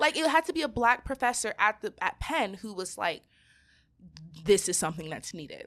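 In a very clean recording with a silent background, a woman with an American accent speaks at a moderate pace and a fairly high pitch, with very wide pitch swings and big swings in loudness. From Southern California, Nigerian parents. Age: 20s. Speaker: Wall Street legal analyst and content creator. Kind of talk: casual interview chat.

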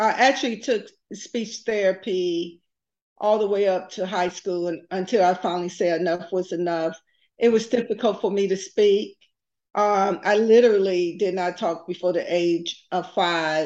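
In a plain, everyday voice, a woman with an American accent talks at a fairly slow pace, her medium pitch showing ordinary pitch variation. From US South (Texas / Tuskegee, Alabama). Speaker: business executive and nonprofit founder. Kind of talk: interview.

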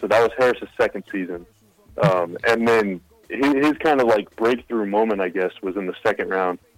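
This is a man speaking in a normal speaking voice. His pitch varies in an ordinary way and his pace is moderate. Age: 20s. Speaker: team digital content writer and podcast host. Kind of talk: casual interview.

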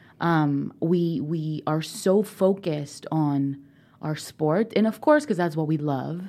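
A woman's very deep, low voice with a dark, mellow tone, ordinary pitch variation and a very slow pace, on a very clean recording with a silent background. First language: Spanish. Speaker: college recruiting specialist, former rower. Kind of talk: casual interview.

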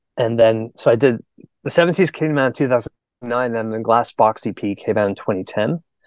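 A man's plain, everyday voice with a Canadian accent, medium pitch and ordinary pitch variation, at a fairly quick pace, dry and close with no echo against a quiet background. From Canada. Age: 40s. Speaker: musician. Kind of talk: casual chat.

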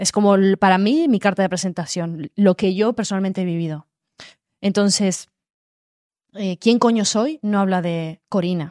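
A woman at medium pitch with a dark, mellow tone, a moderate pace and ordinary pitch variation, on a very clean, dry, close recording with no echo and a silent background. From Málaga, Andalusia, Spain. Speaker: influencer and author. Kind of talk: casual chat.

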